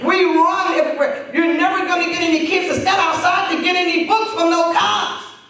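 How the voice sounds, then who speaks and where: Over noticeable background noise and audible room echo, a woman with an American accent speaks at a fairly quick pace in an extremely high voice, with hardly any pauses. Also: ordinary pitch variation. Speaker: former police officer, program founder. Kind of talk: speech telling her story. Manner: animated.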